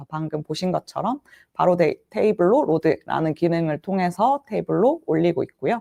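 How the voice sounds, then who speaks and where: Her dark, mellow tone and fairly low pitch carry lively intonation as a woman talks at a fairly quick pace, the sound dry and close with no echo. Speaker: solution engineer presenting tech session. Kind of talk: tech demo presentation. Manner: fast.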